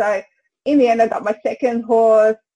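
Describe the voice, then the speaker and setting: A woman with a fairly high pitch and a dark, mellow tone is heard in a dry, close sound with no echo. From Brisbane, Australia (emigrated from England at four). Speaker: horse trainer. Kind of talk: interview. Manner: halting.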